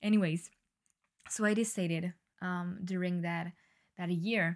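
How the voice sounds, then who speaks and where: In a very clean recording with a silent background, the speaker uses a French accent, a very slow pace and monotone, flat intonation. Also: woman. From France. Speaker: podcast host. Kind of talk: solo monologue. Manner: hesitant, many fillers.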